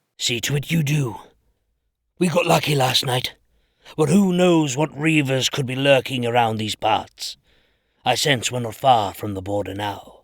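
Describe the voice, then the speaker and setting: A man's put-on character voice at a medium pitch, lively intonation and long, frequent pauses, on a very clean recording with a silent background. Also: moderate pace. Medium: audio drama. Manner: curt, commanding.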